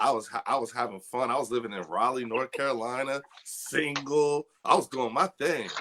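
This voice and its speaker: A man with an American accent, a plain, everyday voice, medium pitch, ordinary pitch variation, moderate pace and hardly any pauses. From Trenton, New Jersey. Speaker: army veteran and cannabis advocate. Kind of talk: interview.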